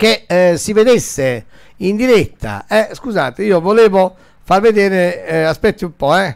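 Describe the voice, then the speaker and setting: Lively intonation at a fairly slow pace against a quiet background. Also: man, high pitch for a man. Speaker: radio DJ and host; radio DJ, host. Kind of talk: live phone call with a listener. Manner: casual, chatty. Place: studio. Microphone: studio mic.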